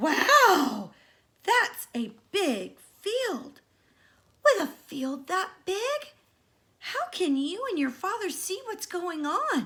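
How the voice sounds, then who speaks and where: A woman uses a put-on character voice pitched extremely high, with very wide pitch swings. She speaks very slowly, with long, frequent pauses. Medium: read story. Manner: playful, innocent-sounding.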